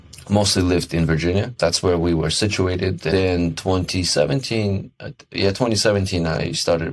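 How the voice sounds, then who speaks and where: Noticeable background noise sits behind a man speaking at a moderate pace. His pitch is very deep and low, with ordinary variation. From Kyrgyzstan. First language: Russian. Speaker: podcast co-host, IT worker. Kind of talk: casual podcast chat.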